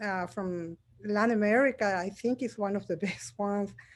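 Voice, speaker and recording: With a Spanish accent, a woman talks at a moderate pace. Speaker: audience member. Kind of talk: question from audience. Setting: video call.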